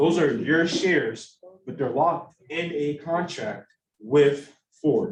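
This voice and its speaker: A man with a fairly high pitch is heard with audible room echo around him. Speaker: student presenter at investment club. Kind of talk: casual presentation. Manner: casual; slow.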